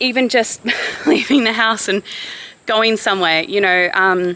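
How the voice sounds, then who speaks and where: Woman with an Australian accent, medium pitch, ordinary pitch variation and a moderate pace, over noticeable background noise. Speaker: vlogger. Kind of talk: vlog talking to camera. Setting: outdoors, walking.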